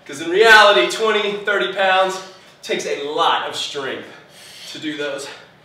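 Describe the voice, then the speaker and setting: A man speaks with a high pitch and lively intonation. Some room echo can be heard. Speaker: fitness instructor. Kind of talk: guided home workout class, coaching through timed intervals. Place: gym.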